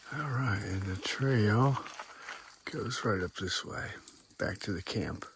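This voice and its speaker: Over noticeable background noise, a man of medium pitch talks at a very slow pace with long, frequent pauses and ordinary pitch variation. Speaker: hiking vlogger. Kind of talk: casual vlog narration. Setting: outdoors on a hiking trail. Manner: whispering.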